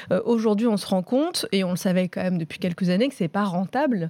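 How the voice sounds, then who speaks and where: A woman with a medium pitch and a dark, mellow tone talks at a fairly quick pace. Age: 30s. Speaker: freelance journalist and TV series critic. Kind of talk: casual debate.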